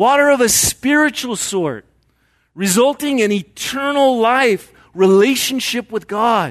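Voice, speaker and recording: A man's extremely high-pitched voice at a fairly slow pace, with ordinary pitch variation over a quiet background. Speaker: preacher. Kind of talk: sermon. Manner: conversational, asks audience questions.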